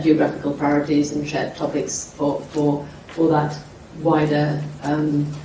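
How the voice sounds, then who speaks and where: The speech moves at a moderate pace. Noticeable background noise and audible room echo come through. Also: woman. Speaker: soft power group representative on panel. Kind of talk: panel discussion. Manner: loud.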